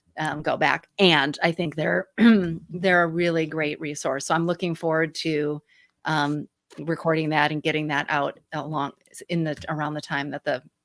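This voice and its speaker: A woman with a Midwestern accent speaks at a very deep, low pitch and a moderate pace, with monotone, flat intonation. The recording is very clean and silent in the background, with a dry, close sound and no echo. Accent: Midwestern twang. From Michigan, US Midwest. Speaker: grief activist and podcast host, guest. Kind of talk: interview conversation.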